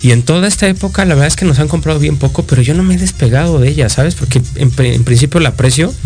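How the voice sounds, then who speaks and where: A man at a medium pitch talks at a very fast pace with hardly any pauses and very even loudness. His pitch swings very widely, with music in the background. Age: 30s. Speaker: sales consultant. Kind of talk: interview.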